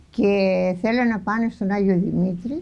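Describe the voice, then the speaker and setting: A woman talks fairly slowly in a dark, mellow, somewhat breathy voice with ordinary pitch variation. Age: 80s+. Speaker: farmer. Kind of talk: interview answer.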